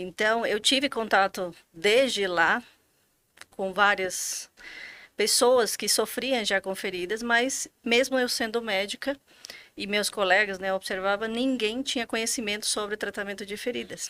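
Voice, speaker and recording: The voice has a bright, sharp tone and ordinary pitch variation, moving at a fairly slow pace. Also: woman. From Bolivia. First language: Spanish (speaking Portuguese). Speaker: physician, finance director. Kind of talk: podcast interview.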